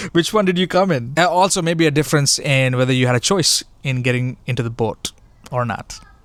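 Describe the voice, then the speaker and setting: This man's normal speaking voice, with an American accent, sits at a fairly high pitch with ordinary pitch variation and moves at a fairly quick pace. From Sri Lanka and Oman, then US from age 18. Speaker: video essayist. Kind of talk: personal video essay. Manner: reflective, with frequent fillers and repetitions.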